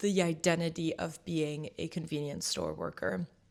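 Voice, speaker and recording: A woman's fairly low-pitched voice with vocal fry and monotone, flat intonation. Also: very clean recording, silent background. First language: French. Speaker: vlogger. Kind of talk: casual vlog chat. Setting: sitting at home with tea.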